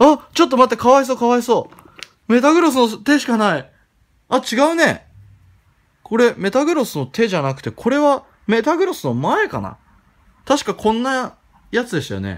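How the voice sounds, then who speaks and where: Pausing long and often, a man with an extremely high pitch speaks at a moderate pace with lively intonation. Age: 20s. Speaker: YouTuber. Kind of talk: casual vlog commentary. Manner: animated.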